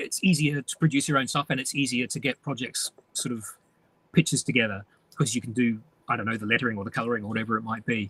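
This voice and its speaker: Speaking very fast yet with long, frequent pauses, a man uses a medium pitch with ordinary variation and a bright, sharp tone, the sound dry and close with no echo. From New Zealand, North Island. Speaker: comics writer and artist. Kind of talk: interview.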